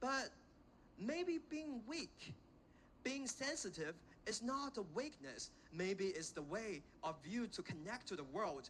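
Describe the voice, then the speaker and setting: A man with a Chinese accent and a high pitch, very wide pitch swings, a very slow pace and long, frequent pauses. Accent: Chinese accent, self-conscious. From China, Xiamen. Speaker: invited speaker, education graduate. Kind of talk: inspirational talk to students. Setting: stage with audience at a school. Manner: halting with fillers.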